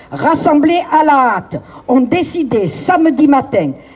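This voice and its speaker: A woman's high voice with ordinary pitch variation, set against noticeable background noise. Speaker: neighbourhood activist. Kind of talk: protest speech. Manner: formal.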